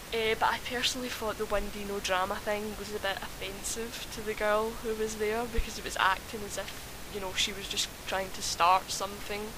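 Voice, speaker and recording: Against noticeable background noise, a woman with a medium pitch talks at a moderate pace in a monotone, flat intonation. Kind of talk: casual opinion rant to camera. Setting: home microphone, uneven volume. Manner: hesitant, repeats and stutters.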